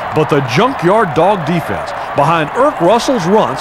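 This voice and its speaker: A man speaks at a moderate pace with lively intonation, noticeable background noise behind him. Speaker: documentary narrator. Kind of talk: scripted narration. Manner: steady, authoritative, formal.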